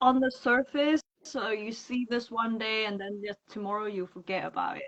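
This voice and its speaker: A woman's fairly high voice with a non-native accent, ordinary pitch variation and a moderate pace. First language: not English. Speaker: freelance makeup artist. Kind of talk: casual interview chat. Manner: halting, searching for words.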